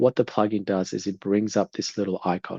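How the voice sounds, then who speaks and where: A man speaks in a fairly low, dark, mellow voice. The sound is dry and close with no echo, over a quiet background. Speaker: home builder sharing a sourcing demo. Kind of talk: tutorial. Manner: hesitant, many filler words.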